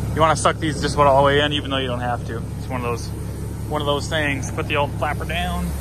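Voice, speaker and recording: A man at a very fast pace with fairly even intonation, a dry sound with no echo, and noticeable background noise. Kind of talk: casual vlog chat. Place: street. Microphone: phone near.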